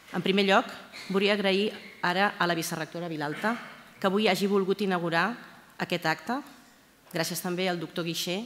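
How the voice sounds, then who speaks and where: Here is a woman with a normal speaking voice and a fairly low pitch. She keeps a moderate pace and fairly even intonation. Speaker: university librarian. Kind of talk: formal speech. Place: hall. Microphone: podium.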